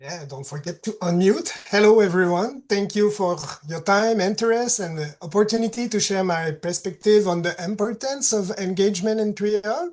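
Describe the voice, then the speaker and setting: Speaking with a Quebec accent, a woman talks at a moderate pace and medium pitch, her loudness swinging widely. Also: ordinary pitch variation. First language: French. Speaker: patient partner. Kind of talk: presentation. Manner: reads closely from prepared text.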